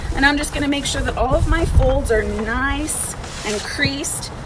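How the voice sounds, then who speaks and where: A loud voice comes through noticeable background noise and audible room echo. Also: woman. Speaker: museum education director. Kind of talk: craft tutorial for kids. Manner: casual and encouraging.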